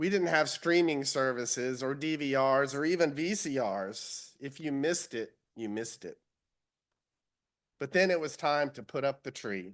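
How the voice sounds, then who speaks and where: Lively intonation marks a man's fairly high-pitched voice with a Southern US accent. He keeps a moderate pace against a quiet background. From US South, Central Florida. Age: 60s. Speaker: lay speaker at church. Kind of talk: sermon-style personal reflection.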